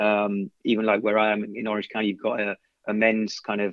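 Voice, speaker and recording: With an English accent, a man speaks at a fairly quick pace and a fairly low pitch. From London, England. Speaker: soccer coach. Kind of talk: casual interview. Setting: podcast.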